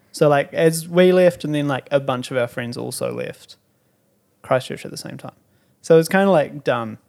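Someone with a New Zealand accent speaks at a moderate pace, with big swings in loudness. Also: man, fairly high pitch for a man, ordinary pitch variation. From New Zealand (Timaru). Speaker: drummer. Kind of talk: casual chat.

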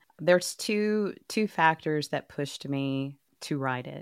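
A woman's very deep, low voice with a Texas accent, fairly slow with lively intonation, dry and close with no echo, on a very clean recording with a silent background. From Texas, Dallas. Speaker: author and journalist. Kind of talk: interview.

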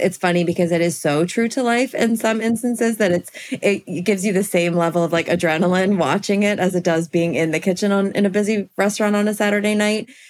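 Noticeable background noise sits behind a woman with an American accent. She talks at a fairly quick pace, with fairly even intonation and very even loudness. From US, small town. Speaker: event planner. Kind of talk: casual chat.

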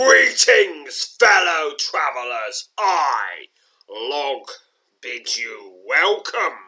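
A man performs in a put-on character voice. He speaks very slowly in a raised, projected voice. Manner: loud, greeting.

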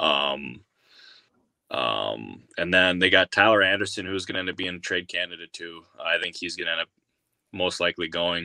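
A very deep, low-pitched male voice with a bright, sharp tone, vocal fry and ordinary pitch variation at a moderate pace, its sound dry and close with no echo against a quiet background. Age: 20s. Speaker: baseball insider journalist. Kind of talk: casual chat.

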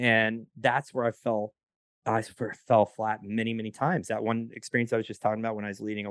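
A man with a normal speaking voice at a medium pitch and a fairly quick pace. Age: 40s. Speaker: entrepreneur and podcast services provider. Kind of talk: casual chat.

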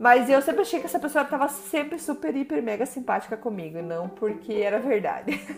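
Over noticeable background noise, a woman with a Brazilian accent speaks at a high pitch and a fairly quick pace, with very wide pitch swings and hardly any pauses. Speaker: podcast host. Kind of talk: personal storytelling monologue.

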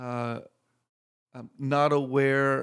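In a very clean recording with a silent background, a man with a Texan accent speaks in a monotone, flat way. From Texas. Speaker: itinerant minister. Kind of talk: interview testimony.

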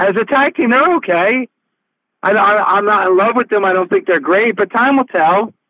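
In a raised, projected voice, a man speaks at a moderate pace with a high pitch, a bright, sharp tone and very even loudness, the sound dry and close with no echo. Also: lively intonation. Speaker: wrestling radio host. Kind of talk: interview. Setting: remote call.

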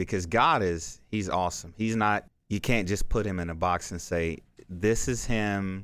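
A man talks at a fairly slow pace in a very deep, low pitch with fairly even intonation. The recording is very clean, with a silent background. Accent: American. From Texas, South Dallas. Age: 30s. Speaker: former NFL player and motivational speaker. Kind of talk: casual interview chat. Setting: studio.

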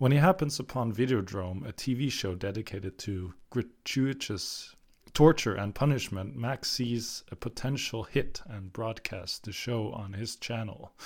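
This man's medium-pitched, somewhat breathy voice has ordinary pitch variation, hardly any pauses and big swings in loudness. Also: fairly slow pace, very clean recording, silent background. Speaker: film podcast co-host. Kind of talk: casual chat.

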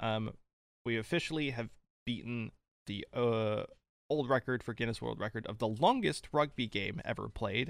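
A man's unremarkable speaking voice at medium pitch, with ordinary pitch variation. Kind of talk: casual chat.

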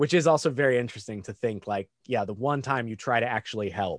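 Against a quiet background, a man talks at a fairly quick pace and medium pitch with ordinary variation, in a dry, close sound with no echo. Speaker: podcaster. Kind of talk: casual chat. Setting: remote call.

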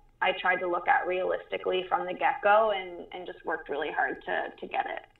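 A woman speaks at a fairly quick pace, and noticeable background noise runs underneath. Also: big swings in loudness. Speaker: hockey journalist. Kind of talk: interview. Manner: calm.

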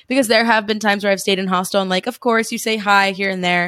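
A woman with a New Jersey accent speaks at a medium pitch. The recording is very clean with a silent background, the sound dry and close with no echo. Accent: New Jersey American. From US, New Jersey. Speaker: travel podcaster and digital nomad. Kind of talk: casual interview chat.

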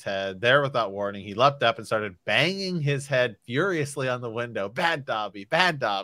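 A natural reading voice carries lively intonation.

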